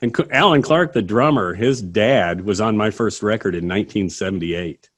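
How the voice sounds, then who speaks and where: A man with a fairly low pitch talks at a moderate pace in a normal speaking voice with lively intonation. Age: 50s. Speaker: singer-songwriter. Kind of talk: casual interview.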